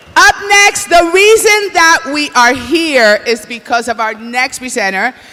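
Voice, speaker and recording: A woman with a high voice speaks at a fairly slow pace in a raised, projected, animated tone with very wide pitch swings. Noticeable background noise sits behind her. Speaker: awards show co-host. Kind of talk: live emcee banter. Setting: stage with audience.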